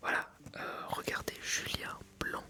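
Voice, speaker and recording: A man is whispering. Noticeable noise sits in the background. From France. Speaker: ASMR creator and filmmaker. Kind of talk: ASMR advice reading, casual talk to camera. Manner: soft-spoken, whispered, relaxing.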